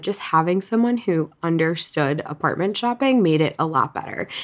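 A woman's unremarkable speaking voice, fairly low-pitched, at a fairly quick pace with ordinary pitch variation. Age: 30s. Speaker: podcast host and author. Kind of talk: casual monologue. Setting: at home, windows open.

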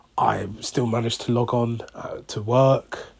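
A man speaks in a somewhat breathy voice. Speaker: podcaster. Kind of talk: casual monologue. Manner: hesitant, many fillers.

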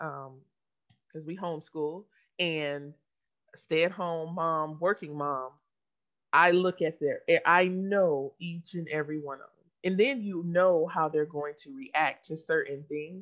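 A normal speaking voice from a woman, fairly low in pitch with ordinary pitch variation, at a fairly slow pace with big swings in loudness. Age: 40s. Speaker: podcast co-host. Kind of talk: casual chat.

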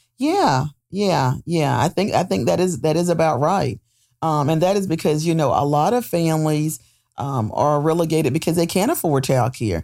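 A woman's very deep, low pitch and dark, mellow tone with a North Carolina accent, lively intonation, very even loudness and a moderate pace, in a very clean recording with a silent background. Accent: US South (North Carolina). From Goldsboro, North Carolina. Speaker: nonprofit agency executive. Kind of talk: interview. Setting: studio.

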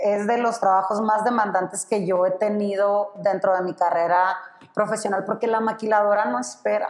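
With fairly even intonation, a woman talks at a moderate pace as noticeable background noise sits behind her. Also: medium pitch for a woman. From Sonora, northern Mexico. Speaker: corporate purchasing professional. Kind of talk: casual interview.

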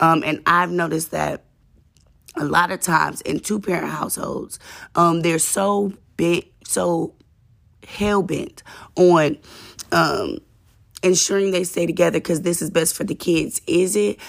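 Over a silent background in a very clean recording, the speaker goes at a fairly slow pace with vocal fry, ordinary pitch variation, and long, frequent pauses. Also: woman, fairly low pitch for a woman. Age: 20s. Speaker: podcast host. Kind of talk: casual monologue. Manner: conversational, informal.

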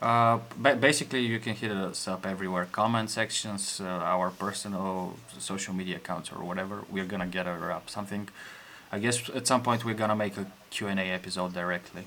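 A man with a Bulgarian accent talks at a fairly quick pace with fairly even intonation. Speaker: podcast host, engineer, expat. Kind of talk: casual chat.

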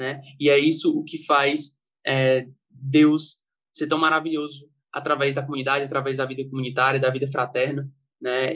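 This man's fairly high voice stays monotone and flat. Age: 20s. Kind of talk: casual chat.

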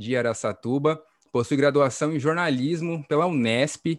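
Dry and close with no echo over a quiet background, a man with an unremarkable speaking voice talks at a moderate pace, medium pitch and ordinary pitch variation. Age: 20s. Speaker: podcast host, journalist. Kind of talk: casual informative podcast chat; news reading.

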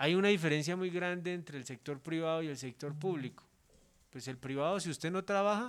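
Delivered in a normal speaking voice at a moderate pace with ordinary pitch variation, the speech sits on a very clean recording with a silent background. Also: man. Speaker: politician. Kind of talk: interview.

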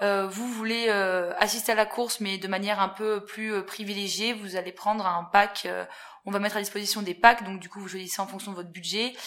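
Talking at a fairly quick pace and medium pitch, a woman keeps a monotone, flat intonation while her loudness swings a lot. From central France (Haute-Loire, Puy-de-Dôme). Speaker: events sales assistant. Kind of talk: interview. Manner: hesitant, many fillers.

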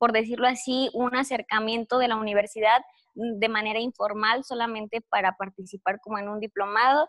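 A woman's plain, everyday voice, fairly high in pitch, with fairly even intonation. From Mexico, Guanajuato (Cortázar). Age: 20s. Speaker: recent university graduate, exchange student. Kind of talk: interview.

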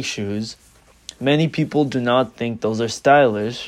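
With ordinary pitch variation and a plain, everyday voice, a man speaks at a moderate pace. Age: 18. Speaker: student presenting a business idea. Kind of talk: student class presentation.

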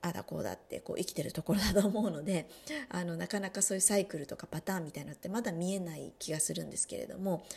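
Fast-paced and full of vocal fry, a woman's dark, mellow voice sits fairly low in pitch, moving at a very fast pace. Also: ordinary pitch variation. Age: 30s. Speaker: podcast host, wellbeing coach. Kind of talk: solo podcast talk.

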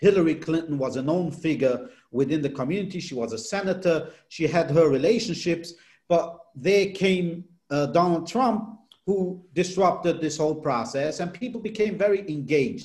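A man's high voice with ordinary pitch variation, in a non-native accent. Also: moderate pace. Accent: foreign-accented English. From outside the US. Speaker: political journalist. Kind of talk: interview.

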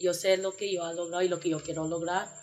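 A woman's voice with music in the background. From New York, US, Panamanian family. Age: 20s. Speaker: Peace Corps volunteer. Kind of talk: casual interview.

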